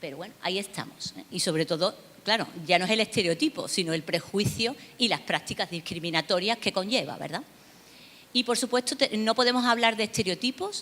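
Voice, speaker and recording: The voice carries an Andalusian accent. It moves at a fairly quick pace with lively intonation. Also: woman, medium pitch for a woman. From Seville, southern Spain. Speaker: academic researcher on migration. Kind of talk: conference lecture. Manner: hesitant, many fillers.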